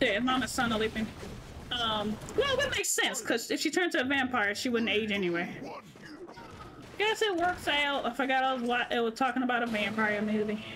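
Speaking with a high pitch and lively intonation, a woman keeps a fairly quick pace and very even loudness. Noticeable background noise and audible room echo fill the recording. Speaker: gaming streamer. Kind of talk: casual gameplay commentary.

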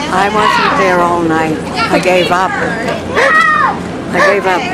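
A woman speaks at a very slow pace, with long, frequent pauses. Loud background noise runs under her voice. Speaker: grandmother. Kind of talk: casual conversation. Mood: dismissive, amused complaining. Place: garden. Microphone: phone near.

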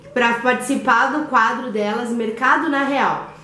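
A woman speaks at a high pitch. Audible room echo and music sit in the background. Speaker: mother vlogger. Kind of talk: casual vlog chat. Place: kitchen. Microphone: phone near.

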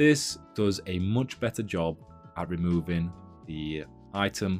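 A man speaks with a very deep, low pitch. Faint music plays in the background. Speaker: tutorial creator. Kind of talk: tutorial. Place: home room.

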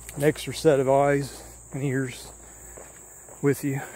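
The recording has light background noise and a dry sound with no echo. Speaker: urban explorer vlogger. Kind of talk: casual vlog chat. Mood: reflective, slightly uneasy. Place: open country. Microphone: phone near.

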